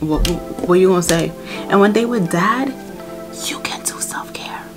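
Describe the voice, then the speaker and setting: The speech comes at a moderate pace with an American accent. Clear music plays in the background. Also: woman. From United States. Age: 20s. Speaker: mom vlogger. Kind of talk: casual talk to camera. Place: home room.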